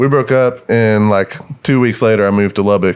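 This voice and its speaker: A man with a Texas accent speaks with ordinary pitch variation over noticeable background noise. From northeast Texas. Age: 20s. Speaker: country musician. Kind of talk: casual chat.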